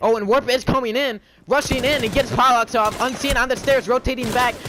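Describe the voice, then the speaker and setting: A man talks at a fairly quick pace. His tone is bright and sharp. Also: very clean recording, silent background. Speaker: gaming commentator. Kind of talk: live commentary. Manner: fast, stuttering; animated.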